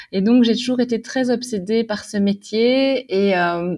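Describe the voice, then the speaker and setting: Against a quiet background, a woman in a plain, everyday voice talks at a fairly slow pace with ordinary pitch variation. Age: 30s. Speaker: magazine editor-in-chief. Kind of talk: casual interview.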